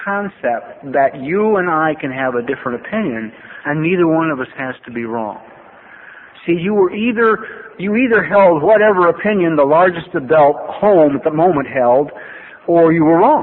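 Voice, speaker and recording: Amid noticeable background noise, a man with an American accent speaks at a high pitch and moderate pace, with lively intonation. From US West Coast, Los Angeles. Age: 60s. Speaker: AA speaker in recovery. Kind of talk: recovery testimony talk. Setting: podium at a meeting with audience. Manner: conversational, with many fillers and restarts.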